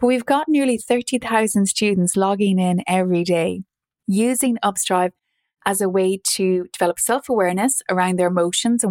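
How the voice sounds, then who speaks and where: A woman's medium-pitched voice at a moderate pace, with very even loudness, ordinary pitch variation, and a dry, close sound with no echo. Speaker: wellbeing app founder. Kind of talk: casual chat. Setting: video call. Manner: comforting.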